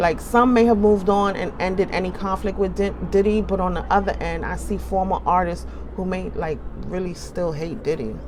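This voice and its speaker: A woman with a New York accent speaks at a moderate pace amid noticeable background noise and audible room echo. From New York City (Bronx), born in the Caribbean. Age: 40s. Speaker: tarot reader. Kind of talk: tarot reading monologue. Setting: indoors by an open window. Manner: casual, conversational.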